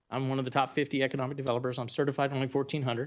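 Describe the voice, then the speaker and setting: At a very fast pace, a man with a Texas accent speaks in a medium pitch. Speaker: economic developer. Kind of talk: presentation to county board. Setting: public meeting.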